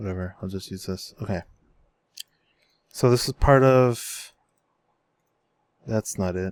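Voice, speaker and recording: On a very clean recording with a silent background and a dry, close sound with no echo, a man talks at a fairly slow pace with ordinary pitch variation and long, frequent pauses. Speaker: gaming youtuber. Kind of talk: gameplay commentary. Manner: casual, halting.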